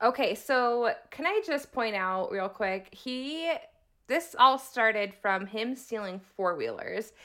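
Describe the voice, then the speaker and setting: A woman's high, bright, sharp voice with lively intonation at a very slow pace, in a very clean recording with a silent background. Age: 30s. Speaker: true crime podcast co-host. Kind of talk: casual chat.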